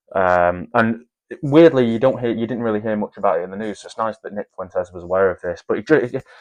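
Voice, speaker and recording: In an English accent, a man talks at a very fast pace with a dry, close sound, no echo, and a quiet background. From northern England, near Scottish border. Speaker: commentary channel host. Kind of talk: video reaction commentary. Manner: halting, frequent fillers.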